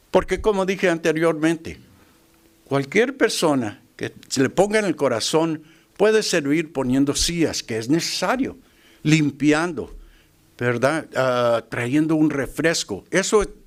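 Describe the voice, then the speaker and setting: A man with an English accent, fairly high pitch, lively intonation and a fairly slow pace. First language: English (speaking Spanish). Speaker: lay preacher. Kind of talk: sermon. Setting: church. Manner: halting, with fillers and repetitions.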